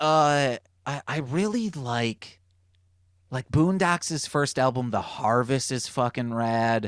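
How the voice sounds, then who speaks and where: A man with an American accent speaks at a very slow pace, medium in pitch with ordinary variation. The recording is very clean and silent behind him, dry and close with no echo. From Michigan, US (Muskegon). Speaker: rapper and music producer. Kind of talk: casual podcast chat.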